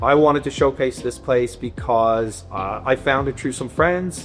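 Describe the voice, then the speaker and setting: A man's medium-pitched voice, with ordinary pitch variation, comes through over background music. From Dublin, Ireland. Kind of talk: interview questions.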